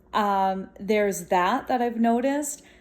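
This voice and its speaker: A woman with a dark, mellow tone talks with ordinary pitch variation. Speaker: vlogger. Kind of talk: casual vlog monologue. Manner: loud; animated.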